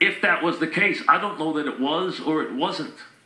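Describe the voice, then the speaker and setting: A man with a plain, everyday voice, fairly high in pitch, at a fairly slow pace. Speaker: sports radio host. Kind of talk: sports radio monologue.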